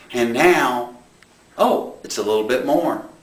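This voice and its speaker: A man with lively intonation in audible room echo. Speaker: preacher. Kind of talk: sermon.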